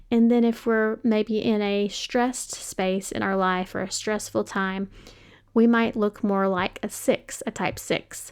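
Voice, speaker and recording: A woman's medium-pitched voice with an American accent, fairly slow and monotone, on a very clean recording with a silent background. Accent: Kentucky accent slips out sometimes. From Western Kentucky, US. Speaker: podcast host. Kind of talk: podcast monologue. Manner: casual, many fillers.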